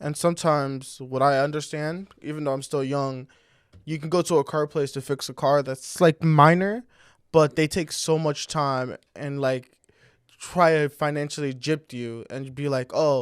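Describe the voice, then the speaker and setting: A plain, everyday voice from a man, fairly high in pitch, at a moderate pace with fairly even intonation, in a dry, close sound with no echo and a very clean recording, silent background. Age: 20s. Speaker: podcast technician and guest. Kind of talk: casual interview chat.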